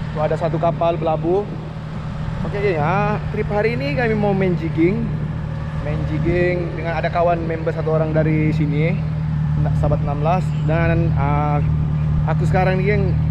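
Loud background noise runs behind a man who speaks at a moderate pace with long, frequent pauses. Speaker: fishing vlogger. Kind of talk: casual vlog chat. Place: beach. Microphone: phone near.

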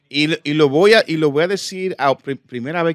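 Lively intonation in a dry sound with no echo and a quiet background. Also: man. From Dominican Republic. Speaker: comedian and impressionist; comedian. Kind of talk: casual chat. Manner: halting. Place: studio. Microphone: studio mic.

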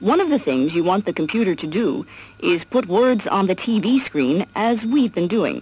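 At a moderate pace, the somewhat breathy voice makes very wide pitch swings in a dry sound with no echo. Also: woman. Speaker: narrator of educational software. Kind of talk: 1979 instructional cassette narration, scripted. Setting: computer cassette audio track played through a tape recorder. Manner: formal, even-paced, clear and instructive; measured, step-by-step, impersonal. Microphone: old recording.

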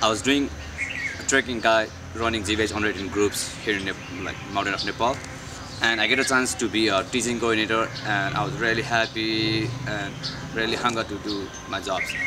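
Over noticeable background noise, a man talks at a fairly quick pace. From Pokhara, Nepal. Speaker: teaching coordinator. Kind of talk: casual talk to camera. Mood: warm, earnest. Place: garden.

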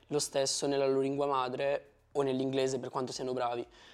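A man with an unremarkable speaking voice and fairly high pitch talks at a fairly quick pace over a quiet background. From Italy. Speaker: former exchange student. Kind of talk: interview. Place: studio. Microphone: lapel.

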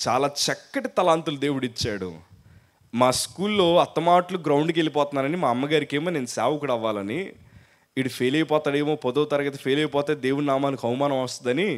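A man with an unremarkable speaking voice speaks at a fairly high pitch, with ordinary pitch variation. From coastal Andhra Pradesh, India. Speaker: pastor. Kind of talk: sermon.

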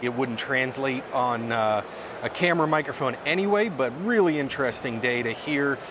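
There is noticeable background noise behind this man speaking. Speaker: audio engineer vlogger. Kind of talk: casual vlog chat. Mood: upbeat, relaxed. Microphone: lapel.

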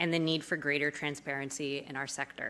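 A woman talks at a fairly quick pace in a very deep, low voice, her intonation monotone and flat and her tone bright and sharp. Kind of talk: speaker introduction. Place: hall.

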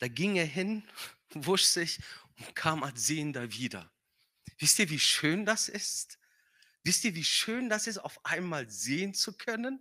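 A man speaks at a very slow pace in a high pitch, with a bright, sharp tone and very wide pitch swings. Long, frequent pauses break up his speech against a quiet background. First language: not German (speaking German). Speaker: guest preacher; preacher. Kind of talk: sermon. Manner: hesitant with filler sounds. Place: church. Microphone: handheld.

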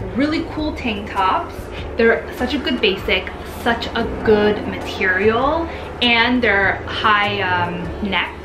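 A woman speaks at a very slow pace. Noticeable background noise sits behind her. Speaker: vlogger. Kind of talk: casual vlog chat. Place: home room. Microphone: camera far.

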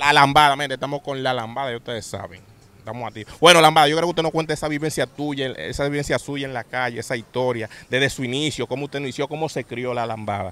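A man with a Dominican accent speaks at a very fast pace in a bright, sharp tone, his medium pitch showing ordinary variation, the sound dry with no echo. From Dominican Republic. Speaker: channel host interviewer. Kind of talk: interview questions and channel intro. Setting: outdoors, near a bridge. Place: open country. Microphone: handheld.

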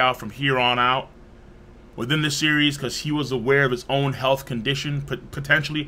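At a moderate pace, a man talks. His intonation stays monotone and flat. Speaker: livestreamer. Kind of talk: livestream commentary. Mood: somber, reflective. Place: home room.

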